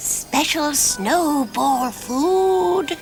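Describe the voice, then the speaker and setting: A high-pitched cartoonish character voice over clear background noise. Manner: knowing, chatty.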